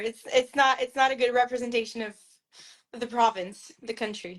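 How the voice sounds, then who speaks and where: A woman with a French Canadian accent speaks at a moderate pace in a high pitch. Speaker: author. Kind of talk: interview. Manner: hesitant, many fillers and restarts.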